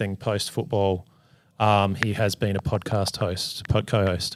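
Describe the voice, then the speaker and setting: At a fairly slow pace, a man speaks in a very clean recording with a silent background. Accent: Australian. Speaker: podcast co-host. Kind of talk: casual chat. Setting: live in a hotel. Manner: slower than usual.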